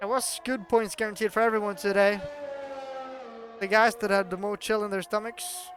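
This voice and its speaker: With a Norwegian accent and long, frequent pauses, the voice comes over music in the background. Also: moderate pace. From Norway. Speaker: sim racing commentator. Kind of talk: live commentary. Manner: animated.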